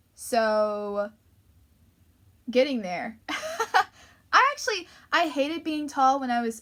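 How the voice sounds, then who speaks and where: With an American accent, a woman speaks in a high, animated voice with lively intonation. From US Northeast (Long Island, New York). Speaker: YouTuber / livestreamer. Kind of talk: casual chat. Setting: livestream.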